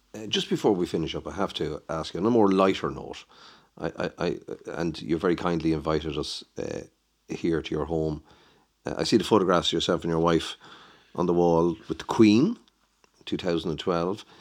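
A man with an Irish accent speaks at a moderate pace in a very deep, low pitch, with fairly even intonation and long, frequent pauses. The background is quiet. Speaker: podcast host. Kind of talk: interview.

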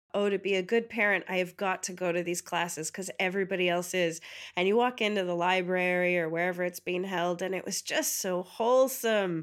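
A woman with a New York accent talks at a fairly quick pace with hardly any pauses, her medium pitch and fairly even intonation captured on a very clean recording with a silent background. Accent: American, New York. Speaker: comedian. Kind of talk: interview.

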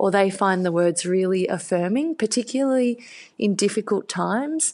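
An Australian accent at a fairly slow pace over a quiet background. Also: woman. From Australia, country Victoria. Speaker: children's book author. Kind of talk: interview.

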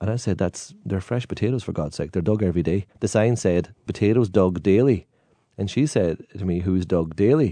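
In a Donegal accent, a man speaks with a very deep, low pitch and a dark, mellow tone. The background is quiet. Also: ordinary pitch variation, moderate pace. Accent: Donegal Irish. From Ireland, County Donegal. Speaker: singer of traditional Irish ballads. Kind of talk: casual chat.

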